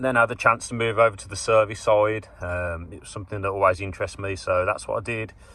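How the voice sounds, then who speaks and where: This is a man talking. He has a Birmingham accent. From England, Birmingham. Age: 30s. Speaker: HVAC engineer. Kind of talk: casual vlog talk to camera.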